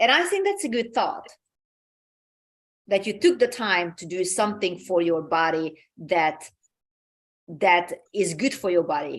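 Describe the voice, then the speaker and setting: A woman speaks with a Hungarian accent at a very slow pace. Her pitch sits in the medium range. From Hungary. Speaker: talk show host. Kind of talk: motivational talk. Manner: halting, many repeated words.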